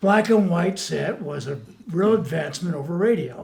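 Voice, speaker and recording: A man speaks with lively intonation. There is audible room echo. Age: 70s. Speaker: audio press reviewer. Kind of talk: casual chat.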